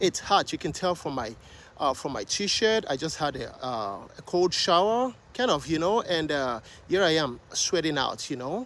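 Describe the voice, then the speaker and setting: With a Nigerian accent, a man speaks at a moderate pace and a fairly high pitch. His pitch swings very widely. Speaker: vlogger. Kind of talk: casual vlog talk to camera. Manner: hesitant, many fillers.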